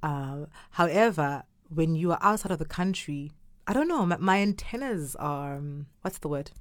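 With a Zulu accent, a woman speaks in an animated tone and lively intonation on a very clean recording with a silent background. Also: fairly low pitch for a woman, moderate pace. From South Africa, Durban. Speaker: theatre company founder. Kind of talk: casual interview. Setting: studio. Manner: animated, laughing.

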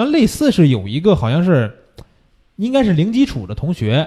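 With a Beijing accent, a man speaks in a fairly high pitch. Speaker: photography course teacher and show host. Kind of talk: casual chat. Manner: fast-talking.

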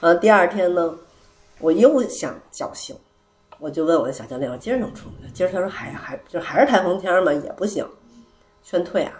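A woman speaks at a medium pitch and a fairly quick pace. Her pitch swings very widely. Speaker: returning guest, host of the gathering at her home. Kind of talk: casual chat. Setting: living room at her home, echoey.

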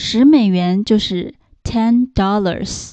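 A woman talks at a medium pitch, and her pitch varies in an ordinary way. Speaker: English teacher. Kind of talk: lesson tutorial. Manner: slow, repetitive for learners.

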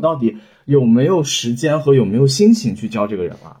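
Somewhat breathy male voice with very wide pitch swings, at a moderate pace. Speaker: new media professional, former software engineer. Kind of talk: casual chat.

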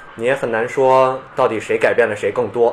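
A man speaks while noticeable background noise runs underneath. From Beijing, China. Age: 30s. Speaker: skateboarder and skateboarding researcher. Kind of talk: casual chat.

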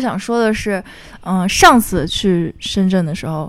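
An animated woman's voice, bright and sharp, with very wide pitch swings and a fairly slow pace. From Beijing. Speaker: podcast host. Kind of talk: casual chat. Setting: at home.

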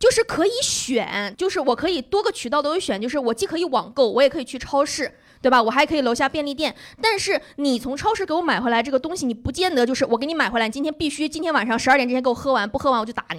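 A woman with a high pitch talks at a very fast pace with lively intonation. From Northeast China. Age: 20s. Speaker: comedian. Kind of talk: casual chat. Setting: stage with audience. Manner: talkative.

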